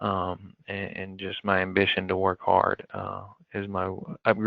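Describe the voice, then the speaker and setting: A man with an American accent. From eastern Kentucky (Jackson County). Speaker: construction executive, army veteran. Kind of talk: podcast interview. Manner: halting, many fillers.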